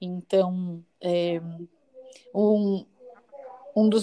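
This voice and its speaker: A soft-spoken woman talks in a dark, mellow tone. Her delivery is calm, with monotone, flat intonation. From São Paulo, East Zone. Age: 30s. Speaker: schoolteacher. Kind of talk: casual chat with faith encouragement.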